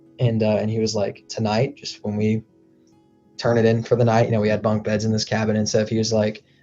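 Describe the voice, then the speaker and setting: Music plays in the background as a man talks at a fairly quick pace. His pitch is fairly low and his intonation monotone and flat. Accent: American. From United States. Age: young. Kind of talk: interview answer. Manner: casual storytelling.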